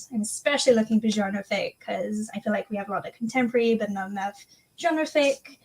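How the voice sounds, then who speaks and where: A woman with a fairly high, somewhat breathy voice, ordinary pitch variation and a very fast pace. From England. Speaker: author and mentor. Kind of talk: live stream panel chat.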